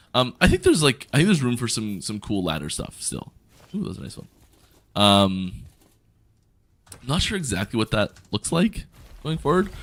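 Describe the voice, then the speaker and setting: Speaking at a moderate pace with vocal fry, a man of medium pitch swings very widely in pitch and takes long, frequent pauses. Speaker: game streamer. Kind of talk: live stream chat. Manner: casual, hesitant with fillers.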